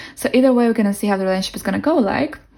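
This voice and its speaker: A woman speaks with a non-native accent. Her voice has vocal fry. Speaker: tarot reader. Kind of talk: tarot reading to camera. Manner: casual, warm.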